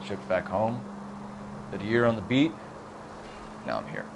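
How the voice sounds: A man's put-on character voice, fairly low-pitched and creaky with vocal fry, at a fairly slow pace with very wide pitch swings, over clearly audible background noise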